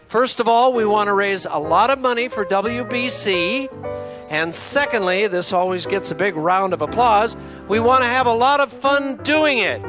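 A man's high-pitched voice with lively intonation at a moderate pace, dry with no echo, over clear music in the background. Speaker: live benefit auctioneer. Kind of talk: welcoming MC-style address to a crowd. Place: hall.

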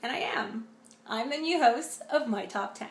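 Amid noticeable background noise and audible room echo, a woman with a Canadian accent speaks in a high voice with lively intonation. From Canada. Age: 30s. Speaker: radio personality. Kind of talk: audition reel. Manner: animated.

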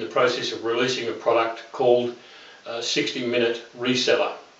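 Audible room echo surrounds a man speaking with an Australian accent. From Australia, Melbourne. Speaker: internet marketer. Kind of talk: testimonial. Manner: halting, many fillers. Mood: earnest, persuasive.

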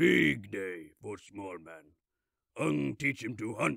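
A man's put-on character voice, very deep and low in pitch, at a very slow pace. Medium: dub.

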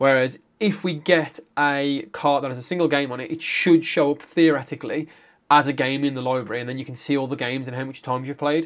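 Over a quiet background, a man with a British accent speaks very fast at a fairly high pitch, with fairly even intonation and big swings in loudness. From UK. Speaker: gaming YouTuber. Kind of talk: tutorial. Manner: casual, conversational. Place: home room.

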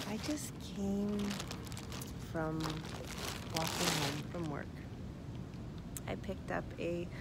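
A woman speaks very slowly over loud background noise, with a dry sound and no echo. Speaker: vlogger. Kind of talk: casual vlog chat. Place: open country. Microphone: phone near.

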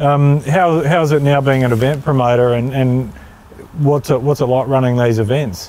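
A man with an Australian accent speaks at a medium pitch and a moderate pace, with fairly even intonation, very even loudness and a dry sound with no echo. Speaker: motoring channel host; interview host. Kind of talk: casual interview. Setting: outdoors at a speedway. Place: stadium. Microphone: lapel.

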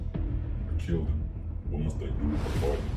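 A fairly slow pace over clear music in the background. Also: man. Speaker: caller. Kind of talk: acted prank phone call. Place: home room. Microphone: camera far.

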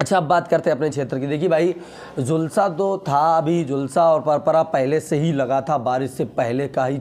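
Over light background noise, a man with a fairly high pitch talks at a fairly slow pace with ordinary pitch variation. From Uttar Pradesh, India. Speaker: potato market news youtuber. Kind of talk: market update vlog. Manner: casual, conversational. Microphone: lapel.

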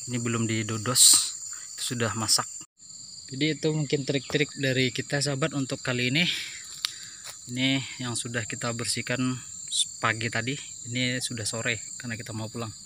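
Fairly quick speech broken by long, frequent pauses comes through with dry sound, no echo, and light background noise. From Indonesia. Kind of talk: tutorial. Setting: outdoors. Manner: casual, hesitant with fillers. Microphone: phone near.

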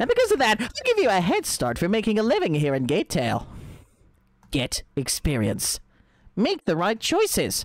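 Someone uses a put-on character voice pitched fairly high. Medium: game stream. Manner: mocking, gleefully rude; loud, exclaiming.

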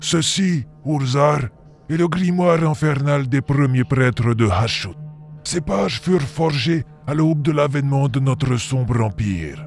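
With clear music in the background, someone speaks at a moderate pace in a put-on character voice. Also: man, fairly high pitch for a man. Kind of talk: dark fantasy audio drama. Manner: grave, weary, foreboding.

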